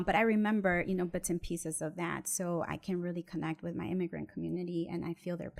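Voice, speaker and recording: A woman with an American accent speaks in a normal speaking voice, fairly low-pitched, at a fairly quick pace with fairly even intonation. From Mexico, raised in the US from age six. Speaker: real estate attorney and investor. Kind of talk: interview, personal story.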